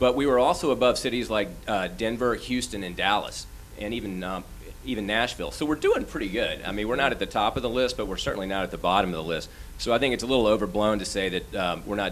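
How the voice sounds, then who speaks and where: A man at a very fast pace, with ordinary pitch variation and light background noise. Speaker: commercial real estate executive; panelist. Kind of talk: panel discussion. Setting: stage with audience. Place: meeting room. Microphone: handheld.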